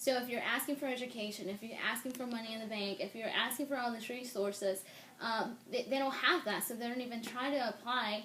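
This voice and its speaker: A woman's fairly high voice at a fairly quick pace, with fairly even intonation and noticeable background noise. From Mexico. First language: Spanish. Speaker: interviewee, immigrant. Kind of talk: interview.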